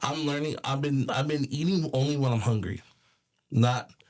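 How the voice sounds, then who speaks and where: A man with a Californian accent at a moderate pace. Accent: Californian American English. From California, Bakersfield. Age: 30s. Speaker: rapper and film crew foreman. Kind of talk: casual interview chat. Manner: halting, many repetitions and false starts.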